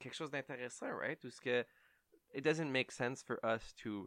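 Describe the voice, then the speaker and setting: A man talks at medium pitch and a moderate pace, with ordinary pitch variation. His tone is bright and sharp, and the sound is dry and close with no echo. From Ontario (Ottawa), Franco-Ontarian. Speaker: podcast co-host. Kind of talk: casual chat. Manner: hesitant, many fillers.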